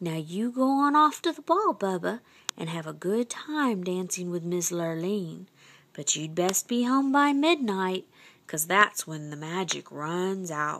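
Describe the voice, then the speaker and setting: Speaking in a put-on character voice, a woman keeps a medium pitch and a fairly slow pace. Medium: read story.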